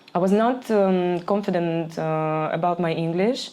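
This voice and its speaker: The speaker has a Ukrainian accent and ordinary pitch variation. Audible room echo is present. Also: woman. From Ukraine. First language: Ukrainian or Russian. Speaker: DJ and label owner. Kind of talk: podcast interview. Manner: halting, searching for words.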